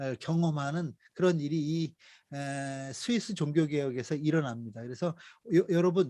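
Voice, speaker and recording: In a very clean recording with a silent background, a man speaks at a fairly slow pace. His pitch is fairly high, with ordinary variation. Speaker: missionary lecturer. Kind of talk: lecture. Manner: many fillers (어, 아, 에); may speed up.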